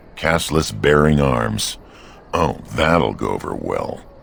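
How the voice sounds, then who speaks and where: In a put-on character voice, a man speaks at a fairly slow pace with a very deep, low pitch over clear background noise. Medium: video game. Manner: gleeful, chuckling.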